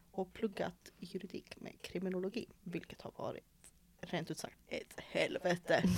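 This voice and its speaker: A woman speaks at a fairly slow pace in a medium pitch. Her voice is somewhat breathy, with fairly even intonation. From Malmö, Sweden. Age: 20s. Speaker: podcast host. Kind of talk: casual chat.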